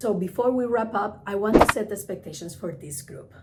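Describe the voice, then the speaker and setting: Amid noticeable background noise and audible room echo, a woman with a Spanish accent and a fairly high pitch talks at a moderate pace with lively intonation. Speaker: travel agent and trainer. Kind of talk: tutorial.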